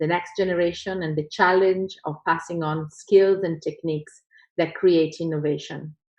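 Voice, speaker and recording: In an Italian accent, a woman speaks at a moderate pace. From Italy. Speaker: professor. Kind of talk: conference talk. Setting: video call.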